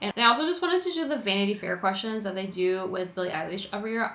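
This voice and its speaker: The speech races along at a very fast pace, with audible room echo. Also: woman. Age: 20s. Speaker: lifestyle vlogger. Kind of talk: casual vlog monologue. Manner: chatty, lots of fillers.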